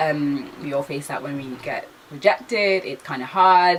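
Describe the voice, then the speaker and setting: A woman's voice over noticeable background noise. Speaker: vlogger, aspiring TV presenter. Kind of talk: casual chat. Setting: sitting down talking to camera. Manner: fast, stumbling over words; casual, filler-heavy.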